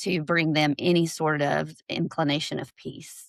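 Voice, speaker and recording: A woman speaks with a Southern US accent. Vocal fry runs through her voice. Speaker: LGBTQ+ ally advocate. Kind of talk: podcast interview, personal story.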